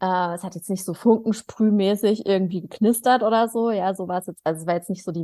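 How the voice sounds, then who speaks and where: Recorded very cleanly against a silent background, a woman speaks at a medium pitch with a dark, mellow tone and ordinary pitch variation. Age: 30s. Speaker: podcast co-host. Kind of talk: casual chat.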